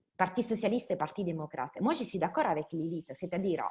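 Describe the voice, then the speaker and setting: A woman speaks with an Italian accent at a fairly low pitch. Her voice is somewhat breathy. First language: Italian (speaking French). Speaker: politician and academic. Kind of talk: online panel debate.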